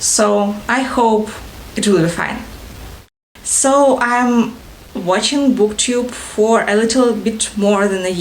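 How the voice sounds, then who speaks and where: A woman with a Russian accent speaks at a very slow pace and a fairly high pitch. Her pitch varies ordinarily, and audible room echo is present. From Ukraine, Odessa (Russian-speaking south). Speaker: book vlogger. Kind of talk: casual vlog introduction. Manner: halting, many fillers.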